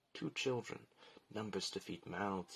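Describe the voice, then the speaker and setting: A man's unremarkable speaking voice, fairly low in pitch, with ordinary pitch variation at a moderate pace. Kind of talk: poetry reading.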